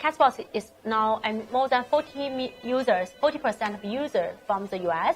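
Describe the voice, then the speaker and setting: Music plays in the background. A woman with a Chinese accent speaks at a moderate pace with lively intonation. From China. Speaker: startup founder. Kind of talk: interview. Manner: halting.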